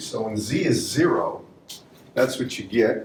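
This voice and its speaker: With audible room echo, a man talks at a moderate pace using lively intonation. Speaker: university lecturer. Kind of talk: lecture.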